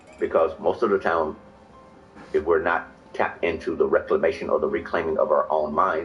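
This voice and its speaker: Noticeable noise hums in the background. Over it, a man speaks fairly quickly. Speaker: live stream speaker, spiritual teacher. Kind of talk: spiritual talk, monologue. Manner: fast.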